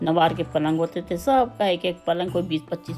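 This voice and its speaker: A woman's voice with music in the background. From Hyderabad, India. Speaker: retired teacher and school principal. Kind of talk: memoir interview.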